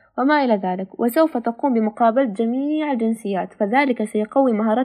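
Using a normal speaking voice, a woman talks at a moderate pace and fairly high pitch with ordinary pitch variation. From Palestine. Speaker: student volunteer. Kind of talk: prepared talk in Standard Arabic. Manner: formal.

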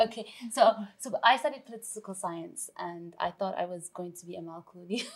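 A woman with an unremarkable speaking voice talks fairly quickly at a medium pitch, with ordinary pitch variation and big swings in loudness. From Canada, Vancouver. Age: 40s. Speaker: TV chef and cookbook author. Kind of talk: casual interview chat.

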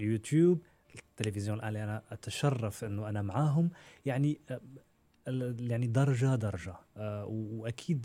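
A man's somewhat breathy, dark, mellow voice at medium pitch moves at a fairly slow pace with ordinary pitch variation, on a very clean recording with a silent background. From Morocco. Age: 30s. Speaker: media presenter. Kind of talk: interview, personal story.

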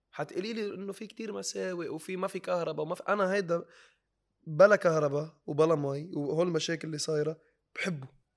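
Fairly quick speech with big swings in loudness and ordinary pitch variation, in a very clean recording with a silent background. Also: man, high pitch for a man. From Lebanon. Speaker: social media comedian. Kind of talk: interview.

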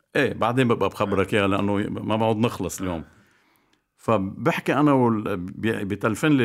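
The man's voice sits fairly low in pitch and varies in an ordinary way, in a very clean recording with a silent background. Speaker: basketball coach. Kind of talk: casual chat. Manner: animated.

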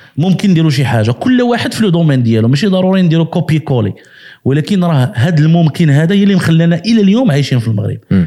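The speaker talks at a very fast pace with hardly any pauses, using very wide pitch swings and an animated tone while keeping the loudness very even. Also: man, fairly high pitch for a man. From Morocco. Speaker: web entrepreneur. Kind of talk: casual interview.

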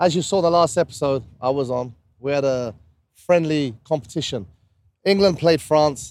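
A man with a British accent talks at a fairly high pitch with ordinary pitch variation. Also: moderate pace. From UK. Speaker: podcast co-host. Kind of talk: casual chat. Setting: outdoors on a rooftop.

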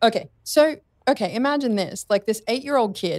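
A woman with an Australian accent speaks at a moderate pace with lively intonation on a very clean recording with a silent background. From Australia, Sydney. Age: 40s. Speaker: speaker and radio/TV presenter. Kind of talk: casual interview chat.

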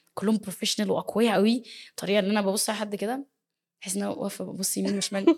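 Her pitch is medium and varies in an ordinary way. This woman talks very fast. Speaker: dance choreographer and teacher. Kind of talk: interview.

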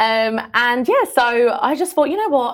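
A woman speaks in an energetic tone with very wide pitch swings. The recording is very clean, with a silent background. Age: 30s. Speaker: blogger, former teacher. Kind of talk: casual interview chat. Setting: studio.

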